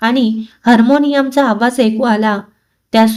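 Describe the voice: With little noise behind it, someone plainly reads a text aloud.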